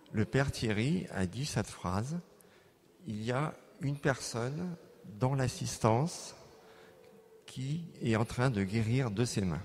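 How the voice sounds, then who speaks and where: Speaking very slowly with long, frequent pauses, a man with a medium-pitched, somewhat breathy voice uses lively intonation and big swings in loudness. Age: 60s. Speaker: plastic surgeon giving healing testimony. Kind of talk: testimony. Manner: halting, many hesitations.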